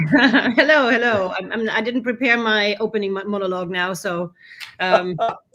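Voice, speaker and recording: A woman with a German accent at a fairly high pitch, with ordinary pitch variation and a moderate pace. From Germany, Bavaria (Munich). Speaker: conference organizer for expats. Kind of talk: casual interview. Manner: halting, many restarts.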